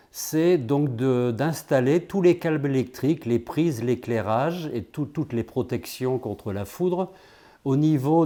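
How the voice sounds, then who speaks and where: A dark, mellow tone at a very slow pace with ordinary pitch variation, on a very clean recording with a silent background. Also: man. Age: 60s. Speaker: volunteer electrical engineer. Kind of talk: interview. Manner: halting, frequent repetitions and hesitations.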